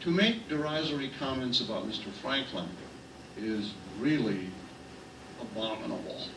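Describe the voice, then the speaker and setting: A man with an American accent and lively intonation, long frequent pauses, audible room echo and noticeable background noise. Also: medium pitch for a man, moderate pace. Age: 70s. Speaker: city official. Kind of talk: political speech.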